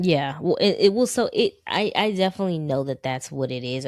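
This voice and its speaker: On a very clean recording with a silent background, a woman speaks with very wide pitch swings. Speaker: podcast co-host. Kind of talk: casual chat. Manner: low energy, even.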